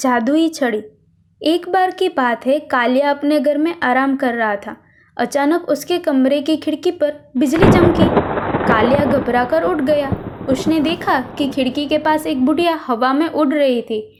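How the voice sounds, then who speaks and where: Through noticeable background noise, a woman speaks in a high pitch. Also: ordinary pitch variation. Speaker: voice over artist. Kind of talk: children's moral story narration. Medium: read story.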